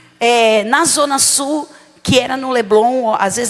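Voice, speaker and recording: Through noticeable background noise, a woman with a São Paulo accent speaks at a high pitch with ordinary pitch variation. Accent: São Paulo (paulista). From São Paulo, Brazil. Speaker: bishop, preacher. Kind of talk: sermon. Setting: church service.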